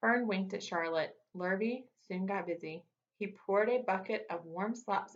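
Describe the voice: Ordinary pitch variation in plain reading aloud, quiet background behind it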